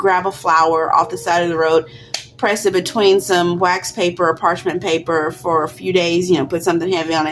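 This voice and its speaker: With music in the background, the intonation stays fairly even while the pace runs fairly quick. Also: woman, fairly low pitch for a woman. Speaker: crafting YouTuber. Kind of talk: tutorial. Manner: halting, many fillers; casual, conversational.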